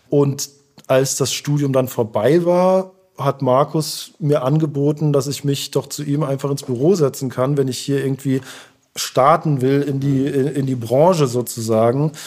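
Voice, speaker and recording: A normal speaking voice goes at a fairly slow pace with fairly even intonation. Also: man, fairly high pitch for a man. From Germany, Heidelberg. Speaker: artist manager. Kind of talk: interview.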